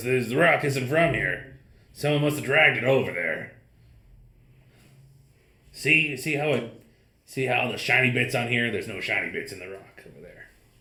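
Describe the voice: Using a gruff, put-on character voice at medium pitch, a man speaks at a moderate pace with long, frequent pauses.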